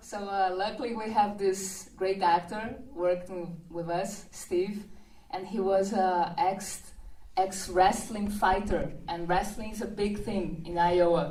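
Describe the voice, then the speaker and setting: Audible room echo surrounds a woman speaking very slowly in a Brazilian Portuguese accent. Her pitch is medium and her intonation fairly even. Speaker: film director. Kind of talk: interview at event. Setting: premiere reception with audience.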